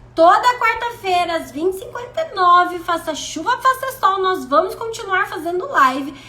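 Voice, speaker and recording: A woman with an extremely high, raised, projected voice sounds animated, her pitch swinging very widely as she keeps a moderate pace with hardly any pauses. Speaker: self-development coach. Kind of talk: live stream talk.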